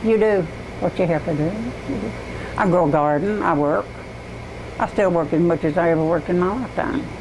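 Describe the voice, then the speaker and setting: Through noticeable background noise, a woman with a Southern US accent talks fairly quickly with lively intonation and long, frequent pauses. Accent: Southern American. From East Tennessee. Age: 80s+. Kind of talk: casual family conversation.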